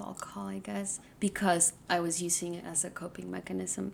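Speaking at a moderate pace, a woman has an unremarkable speaking voice with a fairly low pitch. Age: 20s. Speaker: guest. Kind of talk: casual chat.

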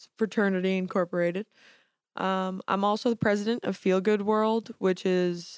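This woman has an American accent and a medium pitch, speaking in a flat monotone at a moderate pace. The recording is very clean, with a silent background and a dry, close sound with no echo. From Staten Island, New York. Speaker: college student. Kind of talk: casual chat. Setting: studio.

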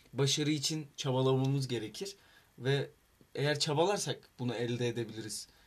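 A man's normal speaking voice, medium in pitch with ordinary pitch variation, at a moderate pace. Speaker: student club vice president. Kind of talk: casual chat.

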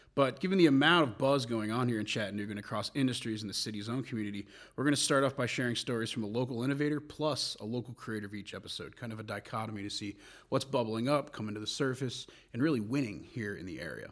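In a very clean recording with a silent background, a man with an American accent talks very fast at a medium pitch. His pitch varies an ordinary amount while his loudness swings widely. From New Jersey. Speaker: podcast host and agency executive. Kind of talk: casual podcast intro.

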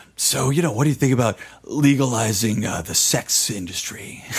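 A man's gravelly put-on character voice, medium in pitch, at a moderate pace.

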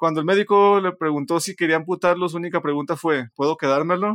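On a very clean recording with a silent background and a dry, close sound with no echo, a man with a Mexican accent talks fairly quickly at a fairly high pitch with ordinary pitch variation. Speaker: podcast co-host. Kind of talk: casual chat.

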